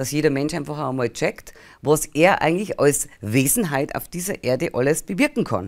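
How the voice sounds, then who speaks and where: In a Bavarian accent, a woman with a very deep, low pitch talks at a fairly quick pace with lively intonation over a quiet background. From Bavaria, rural village. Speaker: spiritual healer and channeling medium; interview guest. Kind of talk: interview. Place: studio.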